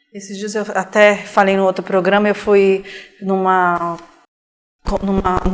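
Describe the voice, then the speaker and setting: The woman's intonation is monotone and flat. She leaves long, frequent pauses. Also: medium pitch for a woman, fairly slow pace, big swings in loudness. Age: 40s. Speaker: interviewer. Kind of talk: interview.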